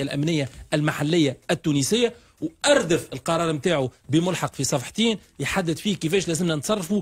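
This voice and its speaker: Lively intonation runs through a man's moderately paced speech. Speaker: radio guest. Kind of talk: interview answer. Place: studio. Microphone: studio mic.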